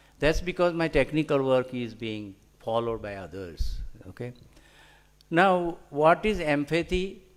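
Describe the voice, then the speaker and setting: A man with a Gujarati accent and lively intonation. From India, Gujarat. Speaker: scientist and author. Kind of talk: lecture. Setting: hall with audience. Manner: halting, many fillers.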